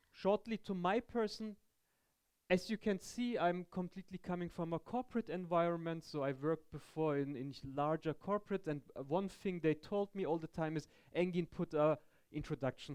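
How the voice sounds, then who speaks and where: The speaker has a German accent and a moderate pace. Intonation is lively. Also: man. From Germany. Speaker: tech conference speaker. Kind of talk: technical talk. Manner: halting.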